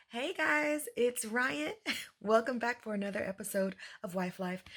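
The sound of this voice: Here a woman puts on a raspy character voice at a fairly high pitch. She keeps a moderate pace.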